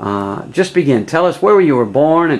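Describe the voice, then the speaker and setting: A man over noticeable background noise. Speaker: missionary. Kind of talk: casual interview questions.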